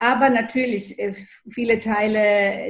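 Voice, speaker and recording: A woman's voice with ordinary pitch variation. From Germany, child of Greek guest workers. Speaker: historian. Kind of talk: interview. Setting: video call. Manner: hesitant, many fillers.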